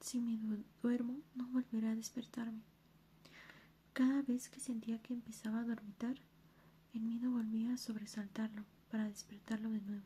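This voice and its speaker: Soft-spoken whispering with long, frequent pauses over noticeable background noise. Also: moderate pace. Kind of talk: ASMR soft-spoken reading of a book passage. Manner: soft-spoken, whispery.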